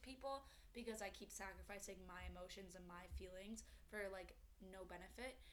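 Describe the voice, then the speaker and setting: A woman talks at a medium pitch. There is noticeable background noise and audible echo from the room. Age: 20s. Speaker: podcast co-host. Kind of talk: casual chat.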